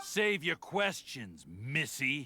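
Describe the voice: A man puts on a character voice, fairly high-pitched, bright and sharp with a slightly husky edge. He speaks slowly with big pitch swings.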